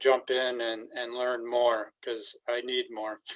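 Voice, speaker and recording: A man's voice at a medium pitch. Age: 60s. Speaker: community volunteer. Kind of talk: community meeting testimony.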